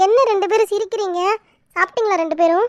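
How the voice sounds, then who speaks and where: Using a put-on character voice, a woman talks at a moderate pace in an extremely high, squeaky pitch with fairly even intonation and a dry, close sound with no echo. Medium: cartoon. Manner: scolding, grumbling.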